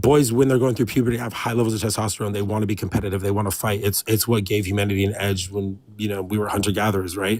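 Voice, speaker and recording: Here a man with a fairly low pitch talks at a very fast pace with hardly any pauses. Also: fairly even intonation. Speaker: caller debating a streamer. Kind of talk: online debate. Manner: loud when passionate; rambling, many fillers.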